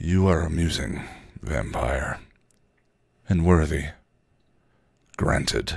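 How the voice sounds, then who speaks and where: A man uses a put-on character voice with a very deep, low pitch. He speaks at a fairly slow pace, with long, frequent pauses. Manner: mocking and admiring at once.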